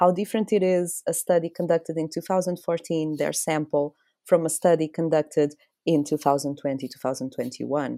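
A woman with a Portuguese accent speaks at a fairly quick pace in a very deep, low pitch, her dark, mellow tone and fairly even intonation set against big swings in loudness, with a dry, close sound, no echo, and a very clean recording with a silent background. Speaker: science writer. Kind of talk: casual chat.

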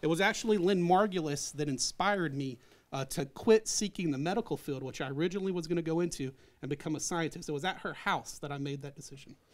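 A man with an American accent has a fairly high pitch. He talks at a very fast pace. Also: ordinary pitch variation, very clean recording, silent background. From Arkansas, US South. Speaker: science professor. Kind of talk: interview.

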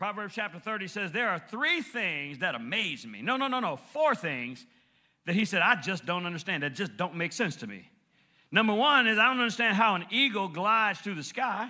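Raised and projected, a man's high-pitched voice has a bright, sharp, animated tone with very wide pitch swings at a moderate pace. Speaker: preacher. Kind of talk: sermon. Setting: church. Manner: animated, call-and-response preaching that seeks amens from the congregation; impassioned, building intensity and rhythmic emphasis, with repeated phrases.

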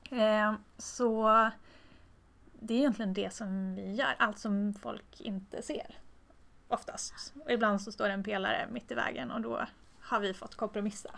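Her fairly high-pitched voice moves at a fairly slow pace with ordinary pitch variation, broken by long, frequent pauses as this woman talks. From Tornedalen, northern Sweden (Haparanda). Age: 30s. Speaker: structural engineer. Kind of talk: interview. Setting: office meeting room.

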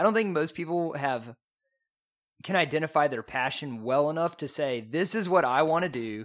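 A man with an East Texas accent speaks in a fairly high pitch. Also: lively intonation, moderate pace. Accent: East Texan, noticeable. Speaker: guest, economics graduate. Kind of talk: casual debate.

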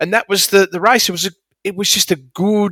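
The recording is very clean, with a silent background and a dry, close sound with no echo. A man speaks in a bright, sharp tone. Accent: Australian. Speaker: horse racing analyst. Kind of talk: casual sports analysis chat.

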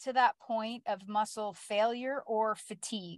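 Speaking at a moderate pace, a woman has an unremarkable speaking voice with a fairly high pitch and ordinary pitch variation. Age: 50s. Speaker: fitness coach. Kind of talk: casual talk to listeners. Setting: live stream.

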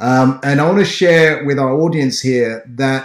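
Medium in pitch, a man speaks with an English accent. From Ghana. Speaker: podcast host. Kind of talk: interview.

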